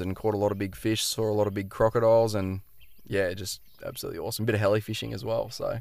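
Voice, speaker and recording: The speaker has an Australian accent and talks at a very fast pace. The recording is very clean, with a silent background. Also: man. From Queensland, Australia (Noosa). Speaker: fishing guide. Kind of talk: casual chat. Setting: outdoors.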